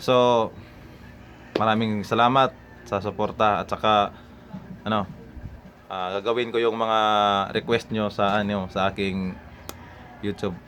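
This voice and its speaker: A man speaks in a fairly low pitch with a monotone, flat intonation. His pace is fairly slow. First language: Cebuano (Bisaya) (speaking Tagalog). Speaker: YouTuber. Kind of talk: casual vlog talk to viewers. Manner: halting, many fillers.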